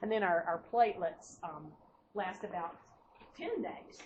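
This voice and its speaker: Over noticeable background noise, a woman with an American accent speaks at medium pitch and a moderate pace with ordinary pitch variation. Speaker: nursing instructor. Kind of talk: lecture. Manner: halting, many fillers and repetitions.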